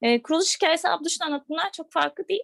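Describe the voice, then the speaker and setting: A woman at a fairly quick pace, with very wide pitch swings and a dry, close sound with no echo. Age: 20s. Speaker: vegan platform co-founder. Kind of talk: casual interview.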